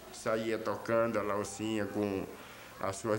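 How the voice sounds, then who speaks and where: Audible room echo and noticeable background noise fill the recording. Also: man. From Brazil, Pernambuco (Olinda). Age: 60s. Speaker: musician. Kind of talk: documentary interview.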